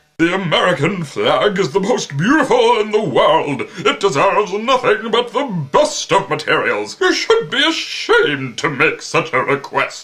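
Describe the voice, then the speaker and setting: A man puts on a character voice pitched high. He talks with hardly any pauses. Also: moderate pace. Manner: indignant, shouting.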